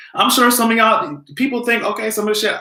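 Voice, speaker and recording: At a very fast pace, a man with a high pitch talks in a raised, projected voice and an animated tone. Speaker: commentary video host. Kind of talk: casual vlog commentary.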